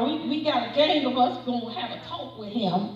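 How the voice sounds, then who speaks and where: There is audible room echo around a woman's voice. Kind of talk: sermon. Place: church. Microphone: camera far.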